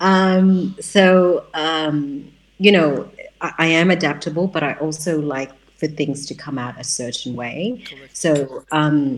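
A woman speaks in an Australian accent with a very deep, low pitch and ordinary pitch variation. Her pace is fairly slow, and her loudness swings widely. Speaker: writer and educator, community center founder. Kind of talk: interview. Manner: hesitant, many fillers.

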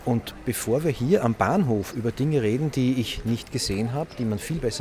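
Noticeable background noise is present throughout. Over it, a man talks with ordinary pitch variation. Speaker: podcast host. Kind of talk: on-location reportage.

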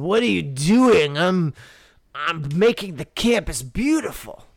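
A put-on character voice at middle pitch, delivered at a very slow pace. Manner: slurred, slow.

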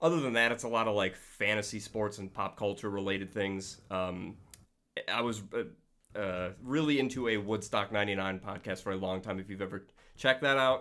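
With an American accent, a man speaks at a moderate pace in a fairly low voice with ordinary pitch variation. His tone is bright and sharp, on a very clean recording with a silent background. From New York State. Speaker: podcast listener and mashup creator. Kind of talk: casual chat.

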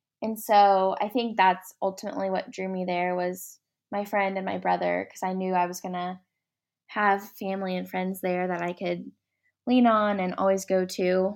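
A woman with an American accent speaks in an ordinary speaking voice at a medium pitch. Her pace is moderate and her intonation fairly even. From Oklahoma, Ardmore. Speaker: interior design student. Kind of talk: interview.

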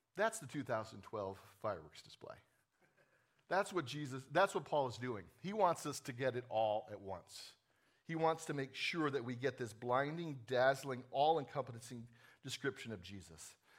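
A man with a normal speaking voice and an American accent talks at a moderate pace and medium pitch, with lively intonation and big swings in loudness. The recording is very clean, with a silent background. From New Jersey. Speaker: executive pastor. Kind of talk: sermon. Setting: church.

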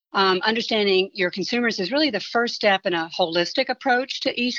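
With hardly any pauses, a woman talks at a fairly quick pace in a plain, everyday voice with ordinary pitch variation. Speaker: marketing professor. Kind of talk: expert commentary.

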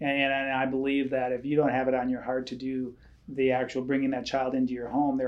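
In an Upper Midwest accent, a man speaks at a medium pitch. His intonation is monotone and flat. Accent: Upper Midwest American. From rural Wisconsin, near Eau Claire. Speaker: church staff member, foster and adoptive parent. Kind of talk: casual chat.

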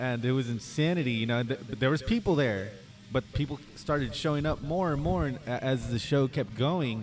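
Speaking at a moderate pace, a man uses a plain, everyday voice of medium pitch, with ordinary pitch variation and very even loudness. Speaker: acoustic musician. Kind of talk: casual chat. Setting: bar.

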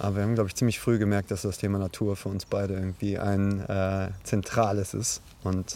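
A man's fairly low, dark, mellow voice at a moderate pace, in monotone, flat intonation. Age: 30s. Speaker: podcast host, parkour coach and sports student. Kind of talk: casual chat. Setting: outdoors in a forest.

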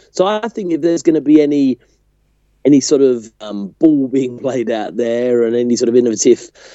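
A man speaks with a British accent. His pitch is medium and varies in an ordinary way. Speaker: podcast co-host. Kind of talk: casual chat.

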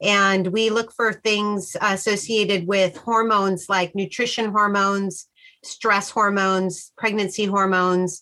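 A woman's fairly slow, medium-pitched voice in an American accent, bright and sharp in tone, with monotone, flat intonation. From Sacramento, California. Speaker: wildlife researcher. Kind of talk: interview.

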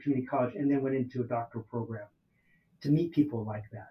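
This man speaks with an American accent. His tone is dark, mellow and somewhat breathy. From US West Coast, Oakland, California. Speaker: ethnic studies professor. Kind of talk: interview. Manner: halting, many fillers.

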